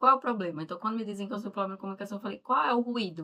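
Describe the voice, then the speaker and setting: With a northeastern Brazilian accent, a woman speaks in a bright, sharp tone with ordinary pitch variation. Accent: Northeastern Brazilian, marked. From Northeast Brazil. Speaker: mentor and live show host. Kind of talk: live interview chat.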